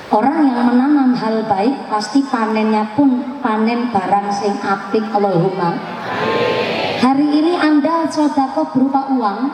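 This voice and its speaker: Over noticeable background noise and audible room echo, a woman speaks at a fairly high pitch. Her tone is animated and her pace fairly slow. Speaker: Islamic preacher. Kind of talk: sermon. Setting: religious gathering with PA system. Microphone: echo effect on PA.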